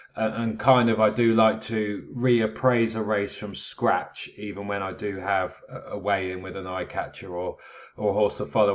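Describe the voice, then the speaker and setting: With a British accent, a man speaks at a moderate pace. His pitch is fairly low and his intonation fairly even. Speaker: horse racing tipster. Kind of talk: video analysis talk. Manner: casual, many filler words.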